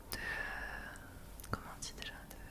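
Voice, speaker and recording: There is noticeable background noise. Under it, a woman whispers very slowly. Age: 20s. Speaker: ASMR creator. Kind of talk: ASMR monthly favourites talk. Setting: home webcam recording. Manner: whispered.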